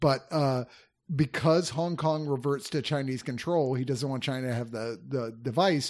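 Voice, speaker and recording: A man has a plain, everyday voice at a medium pitch with ordinary pitch variation. He speaks at a moderate pace against a quiet background. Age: 50s. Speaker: film reviewer podcast host. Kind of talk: casual chat.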